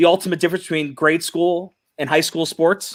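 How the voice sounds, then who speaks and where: Loud and high-pitched, a man talks at a moderate pace. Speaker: podcast co-host and youth coach. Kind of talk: casual panel discussion.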